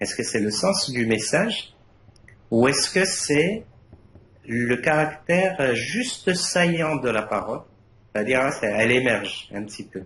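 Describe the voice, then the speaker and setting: Speaking very slowly with a non-native accent, a man uses lively intonation and big swings in loudness. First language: Arabic (speaking French). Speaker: university lecturer, thesis jury member. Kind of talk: thesis defense jury feedback. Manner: hesitant, many fillers and repetitions.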